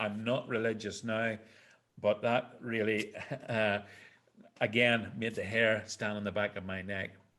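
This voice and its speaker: In a Northern Irish accent, a man talks at a fairly slow pace with a medium pitch and fairly even intonation. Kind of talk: personal storytelling to a live audience.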